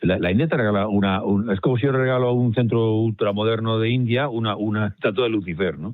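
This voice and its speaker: A man talks at a very fast pace with hardly any pauses. His pitch is medium, with ordinary variation. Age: 70s. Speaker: professor. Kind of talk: debate. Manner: halting.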